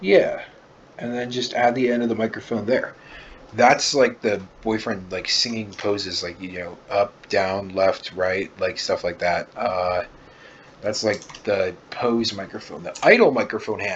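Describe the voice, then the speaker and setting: Noticeable background noise accompanies a man who speaks fairly slowly. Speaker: art tutorial creator. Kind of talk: drawing tutorial. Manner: casual, filler-heavy. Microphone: far from the mic, poor mic quality.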